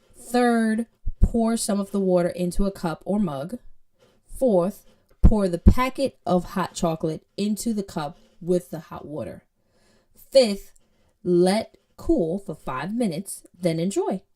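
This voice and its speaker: A woman with a Jamaican accent, dark and mellow in tone, at a fairly slow pace with big swings in loudness. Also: medium pitch for a woman, lively intonation. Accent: Jamaican, drops H sounds. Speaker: programming teacher. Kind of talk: tutorial. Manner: casual, conversational with fillers.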